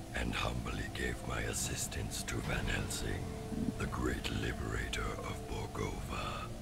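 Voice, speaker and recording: A man whispering in a put-on character voice at a fairly slow pace, over loud background noise. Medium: game stream. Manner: formal, measured, theatrical.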